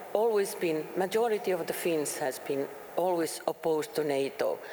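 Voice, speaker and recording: Against noticeable background noise, a woman with a very deep, low pitch speaks at a moderate pace with lively intonation. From Finland. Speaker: politician and peace researcher. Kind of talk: panel discussion. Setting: stage with audience. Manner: halting.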